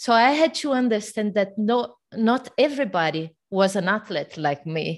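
Against a quiet background, a woman with a Portuguese accent speaks at a moderate pace with lively intonation. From Brazil. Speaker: fitness coach. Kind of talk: interview. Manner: animated.

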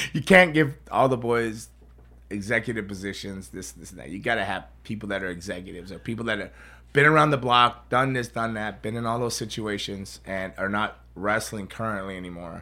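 A man with a bright, sharp tone talks at a fairly quick pace, using ordinary pitch variation and big swings in loudness. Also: fairly low pitch for a man. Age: 50s. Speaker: podcast host and pro wrestler. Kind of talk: casual chat. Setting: studio. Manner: animated.

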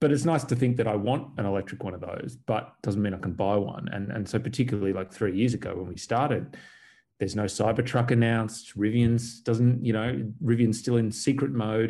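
Talking at a fairly quick pace, a man with a dark, mellow tone holds a medium pitch and ordinary pitch variation. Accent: Australian. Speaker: EV conversion company co-founder. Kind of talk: interview. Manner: hesitant, repeats words.

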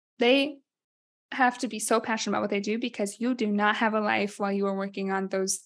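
A woman with an American accent has an unremarkable speaking voice at a medium pitch. She talks fairly quickly with fairly even intonation. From Iowa. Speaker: podcast co-host. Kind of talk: casual chat. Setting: studio.

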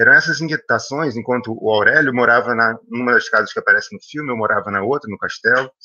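A man talking at a very fast pace. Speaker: film director. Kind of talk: panel discussion. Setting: video call.

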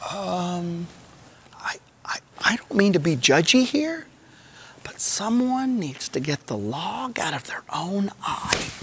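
Slow and whiny, the put-on character voice has a fairly bright tone, a slightly husky edge and big pitch swings.

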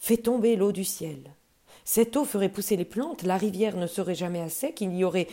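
The reading voice is unforced. Pitch moves in an ordinary way.

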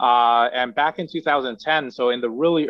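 With music in the background, a man with an American accent speaks at a medium pitch and fairly even intonation. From US Northeast, South Bronx, New York. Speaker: company founder and CEO. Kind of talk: interview. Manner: halting, many fillers.

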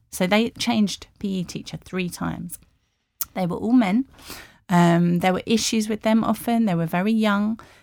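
A woman with an English accent talks at a moderate pace and medium pitch, with fairly even intonation, on a very clean recording with a silent background. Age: 40s. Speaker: sports journalist. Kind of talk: interview. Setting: studio.

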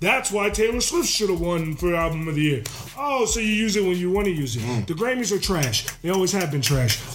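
With music in the background and audible room echo, a man speaks fairly quickly in a high pitch that swings very widely, his loudness very even. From Maryland. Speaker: former pro football player. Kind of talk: casual chat.

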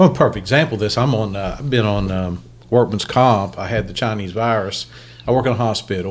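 With an American accent, a man talks at a fairly quick pace in a fairly low pitch with ordinary pitch variation, over noticeable background noise. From Ohio. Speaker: podcast host. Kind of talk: casual interview. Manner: halting.

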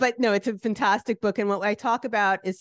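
A woman speaks at a medium pitch and a moderate pace. The sound is dry and close with no echo, over a quiet background. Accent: New Jersey. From New Jersey, US. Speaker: artist and author. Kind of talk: interview chat.

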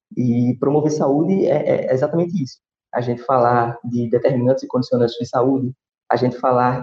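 A man at a fairly quick pace, in a dry, close sound with no echo. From Brazil, Recife (Pernambuco). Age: 20s. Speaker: physical education professional and public health specialist. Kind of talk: interview conversation.

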